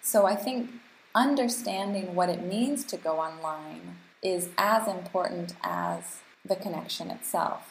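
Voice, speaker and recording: Speaking at a fairly slow pace, a woman with an American accent uses medium pitch with ordinary pitch variation and vocal fry. Audible room echo surrounds her voice. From US and Canada. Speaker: global health advocate and policy researcher. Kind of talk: casual chat.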